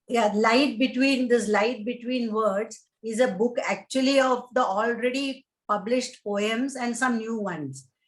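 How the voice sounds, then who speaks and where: A fairly high-pitched woman with a Keralan accent, fairly even intonation and hardly any pauses. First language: Malayalam. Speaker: painter and poet, retired civil servant. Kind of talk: interview. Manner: halting.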